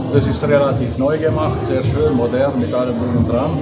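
Music in the background behind a man's moderately paced speech. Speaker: vlogger. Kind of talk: casual vlog chat. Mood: relaxed, cheerful.

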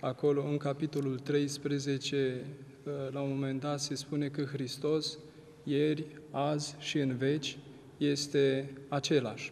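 A man talks at a very slow pace in a fairly high pitch. His intonation stays monotone and flat. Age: young. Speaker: Orthodox priest. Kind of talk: religious TV interview. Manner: formal. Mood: calm, reflective. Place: church.

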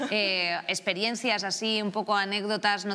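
The tone is bright and sharp, and the intonation stays monotone and flat. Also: woman. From Spain. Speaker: talk show host. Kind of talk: panel discussion. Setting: studio. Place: studio. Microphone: lapel.

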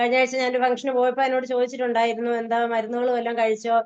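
The woman's voice sits at a high pitch. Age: 50s. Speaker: homemaker, fitness program client. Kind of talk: testimonial interview. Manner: halting, many pauses and restarts.

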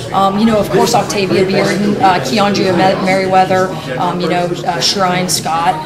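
The speaker keeps a moderate pace against loud background noise. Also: woman. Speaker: head basketball coach. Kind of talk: interview answer. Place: studio.

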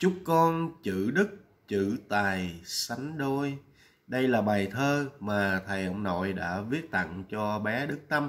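At a very slow pace, a man with fairly low pitch uses lively intonation. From Vietnam. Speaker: vlogger. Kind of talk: vlog commentary. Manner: hesitant, many fillers. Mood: warm, respectful. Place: home room. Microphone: webcam.

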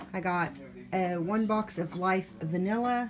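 Noticeable background noise sits behind the voice. A woman talks with ordinary pitch variation. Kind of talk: casual haul vlog chat. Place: home room. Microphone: phone near.

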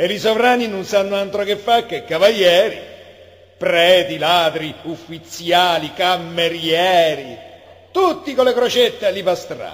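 A man with a Roman accent speaks fairly slowly at a high pitch with ordinary pitch variation, against noticeable background noise. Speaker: poetry reader. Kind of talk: poetry reading.

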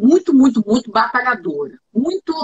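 Moving at a moderate pace, a woman speaks at a high pitch with very wide pitch swings. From Brazil. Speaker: TV journalist and communication trainer; TV journalist, communication trainer. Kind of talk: interview, casual chat. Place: home room.

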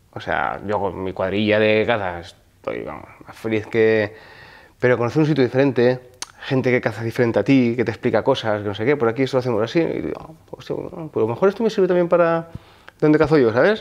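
A man talks at a fairly quick pace with lively intonation. His loudness swings widely. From Val d'Aran, Catalonia (Spain). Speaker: hunter and firefighter. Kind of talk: casual interview. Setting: outdoors in France. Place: home room.

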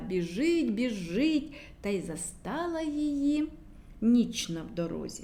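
Speaking at a fairly slow pace, a woman uses a fairly high voice with a slightly mellow tone and big pitch swings.

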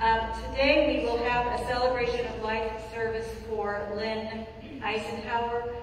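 Spoken at a fairly slow pace, the voice carries strong room echo over light background noise. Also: woman. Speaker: pastor giving announcements. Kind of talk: church announcements. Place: church.

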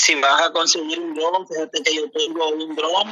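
A man speaks at a fairly slow pace, his pitch fairly high for a man and its variation ordinary. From El Salvador. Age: 40s. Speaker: caller. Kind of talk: casual chat.

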